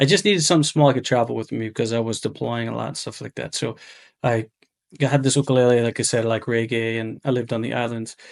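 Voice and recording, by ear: A raspy, fast-paced male voice at medium pitch, with vocal fry and ordinary pitch variation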